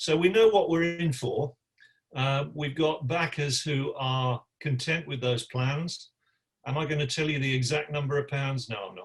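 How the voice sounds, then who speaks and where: A man's fairly high, somewhat breathy voice moves at a moderate pace, its pitch varying in an ordinary way. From West Midlands, England (West Bromwich). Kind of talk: press conference. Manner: halting, with fillers and repeats.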